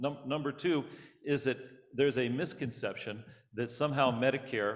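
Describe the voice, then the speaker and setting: At a fairly quick pace, a man with an unremarkable speaking voice keeps a fairly even intonation. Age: 60s. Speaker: state senator. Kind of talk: panel discussion.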